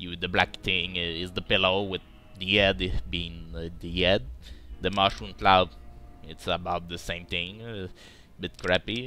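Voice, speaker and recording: A man with a non-native accent, a very deep, low pitch and lively intonation, with music in the background. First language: not English. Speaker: video game let's play commentator. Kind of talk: casual gameplay commentary. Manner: halting, many filler uh's.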